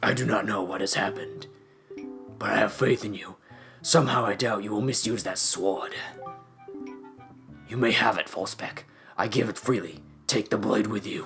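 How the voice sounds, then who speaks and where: A man uses a put-on character voice, raspy and fairly low-pitched, at a moderate pace. Music plays clearly in the background. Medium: actual play. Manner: solemn, old-fashioned.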